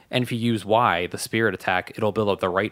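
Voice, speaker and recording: Recorded very cleanly against a silent background, a man with an unremarkable speaking voice talks at a fairly quick pace and a medium pitch. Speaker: podcast co-host. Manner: conversational, joking.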